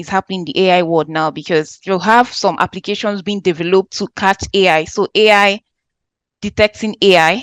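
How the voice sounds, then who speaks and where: Recorded dry and close with no echo, a woman speaks at medium pitch and a moderate pace with ordinary pitch variation. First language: not English. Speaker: lecturer on AI in education. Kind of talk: online workshop lecture answering questions.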